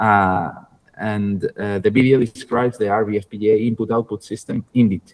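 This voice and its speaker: A man with a Spanish accent talks at a fairly low pitch and moderate pace. The sound is dry and close, with no echo. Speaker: university lecturer. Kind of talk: online lecture. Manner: halting, many fillers and repetitions.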